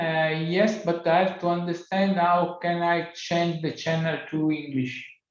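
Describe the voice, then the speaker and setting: Through audible room echo, a man speaks at a high pitch with monotone, flat intonation. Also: moderate pace. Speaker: invited seminar speaker on plant breeding. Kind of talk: casual chat.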